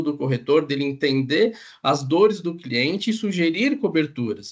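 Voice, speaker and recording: A man's lively intonation against a quiet background. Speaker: insurance underwriter. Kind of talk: panel discussion. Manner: fast.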